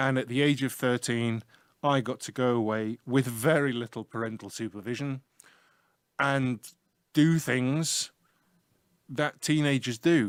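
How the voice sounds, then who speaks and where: In a very clean recording with a silent background, a man with a northern English accent speaks at medium pitch and a fairly slow pace, with long, frequent pauses. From northern England, Leeds, Yorkshire. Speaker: IT teacher. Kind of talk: casual interview talk about his life. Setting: small room, school radio. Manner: animated.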